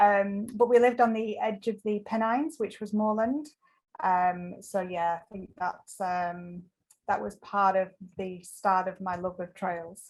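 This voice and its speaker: In an English accent, a woman speaks at a fairly slow pace with a medium pitch and ordinary pitch variation. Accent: English accent noticeable. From northern England, Lancashire-Yorkshire border. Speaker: ultramarathon trail runner. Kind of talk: interview. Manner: hesitant, many fillers.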